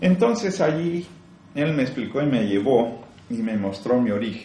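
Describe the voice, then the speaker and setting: A man talks at a fairly slow pace and medium pitch, his pitch swinging very widely. Room echo is audible. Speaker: spiritual teacher. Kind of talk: spiritual talk.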